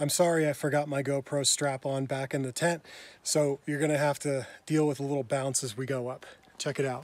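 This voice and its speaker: The speech comes at a fairly quick pace with a monotone, flat intonation. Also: man, dry sound with no echo. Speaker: travel vlogger. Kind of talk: casual vlog chat. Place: open country. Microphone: phone near.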